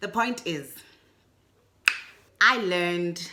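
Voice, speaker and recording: A woman with a Botswana accent speaks at a very slow pace, with audible room echo. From South Africa. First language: Setswana. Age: adult. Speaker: booktuber. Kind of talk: casual video book review. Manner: chatty, with frequent fillers.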